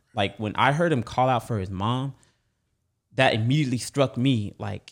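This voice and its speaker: A man speaks at a moderate pace with an American accent, a plain, everyday voice and ordinary pitch variation, on a very clean recording with a silent background. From Texas. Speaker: church member. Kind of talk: casual conversational interview.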